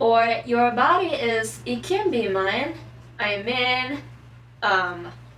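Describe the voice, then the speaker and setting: A woman speaks very slowly in a Japanese accent. Noticeable background noise runs underneath. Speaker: anime and manga explainer. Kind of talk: casual talk to camera. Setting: poor microphone.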